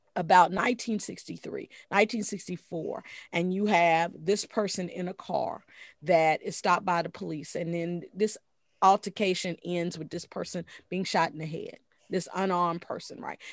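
A woman with an American accent has a normal speaking voice of medium pitch. She speaks at a moderate pace with fairly even intonation in a very clean recording with a silent background. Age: 50s. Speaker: jazz scholar and author. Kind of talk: interview.

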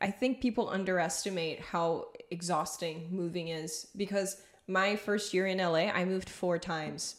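Here a woman has a normal speaking voice at a medium pitch. She keeps a moderate pace with fairly even intonation. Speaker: podcast host. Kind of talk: casual interview chat.

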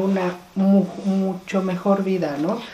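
A woman's medium-pitched voice comes through with audible room echo and noticeable background noise. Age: 50s. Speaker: podcast host. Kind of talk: casual chat.

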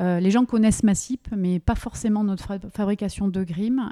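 In a normal speaking voice, a woman talks at medium pitch with fairly even intonation, the sound dry and close with no echo on a very clean recording with a silent background. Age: 40s. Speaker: business owner. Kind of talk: interview. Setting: company premises.

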